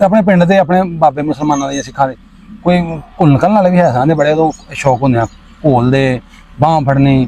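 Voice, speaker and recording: Noticeable background noise sits behind this man. His pitch is fairly high, with ordinary variation. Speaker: interviewer, channel host. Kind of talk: interview questions.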